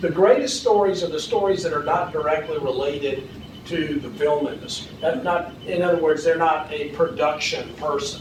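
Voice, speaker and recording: Noticeable background noise and audible room echo surround speech at a moderate pace with ordinary pitch variation. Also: man, fairly high pitch for a man. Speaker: film industry advocate, seminar speaker. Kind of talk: seminar presentation with Q&A. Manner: halting, many repetitions and fillers.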